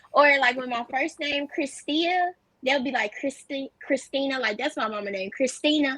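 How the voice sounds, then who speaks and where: With an American accent, a woman talks at a moderate pace in a high pitch. Her pitch variation is ordinary. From US South, Jackson, Mississippi. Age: 20s. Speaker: content creator. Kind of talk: casual chat.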